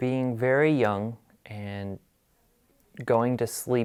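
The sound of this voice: A soft-spoken man with a Wisconsin accent. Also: very clean recording, silent background.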